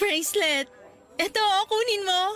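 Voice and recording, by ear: Over faint music and faint crowd noise in the background, a woman uses a put-on character voice at an extremely high pitch, bright and sharp in tone, with ordinary pitch variation and a fairly slow pace.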